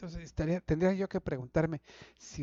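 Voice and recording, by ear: A man's dark, mellow tone with vocal fry, in a dry, close sound with no echo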